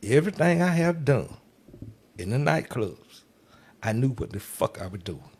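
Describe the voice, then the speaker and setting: With an animated tone and vocal fry, a man at medium pitch talks at a moderate pace, his pitch swinging very widely and his loudness shifting a lot between long, frequent pauses. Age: 60s. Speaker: club DJ. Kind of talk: casual interview chat.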